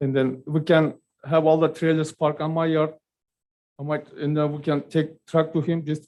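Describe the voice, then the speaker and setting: Speaking with a non-native accent, a man uses a fairly high pitch and monotone, flat intonation. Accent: non-native English speaker. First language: not English. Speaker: business owner. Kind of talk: public testimony. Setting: public meeting. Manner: halting.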